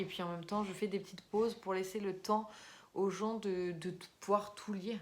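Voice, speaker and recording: Here a woman speaks at a moderate pace and a medium pitch. Her intonation stays monotone and flat. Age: 20s. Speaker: YouTuber and amateur writer. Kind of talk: casual vlog talk. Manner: hesitant, many fillers.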